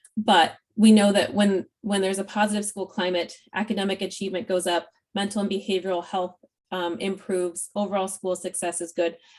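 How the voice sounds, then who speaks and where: A woman talks at a fairly quick pace against a quiet background. Her medium-pitched intonation is monotone and flat. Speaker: school support specialist presenting to educators. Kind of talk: presentation. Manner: fast.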